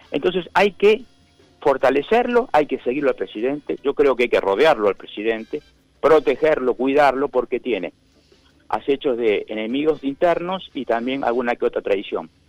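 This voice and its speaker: A man's fairly high voice with lively intonation, dry and close with no echo, over background music. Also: moderate pace. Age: 70s. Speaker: judge. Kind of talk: interview. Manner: halting, frequent repetitions.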